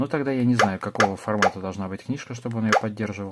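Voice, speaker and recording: Ordinary pitch variation in a man's fairly low voice. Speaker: tech reviewer. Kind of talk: product review. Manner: casual.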